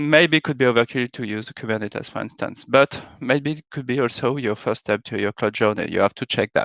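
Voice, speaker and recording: A man with a French accent and vocal fry, medium pitch, ordinary pitch variation and a fairly quick pace, in a dry, close sound with no echo against a quiet background. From France. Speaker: software architect, conference speaker. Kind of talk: conference talk. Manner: hesitant, many filler sounds.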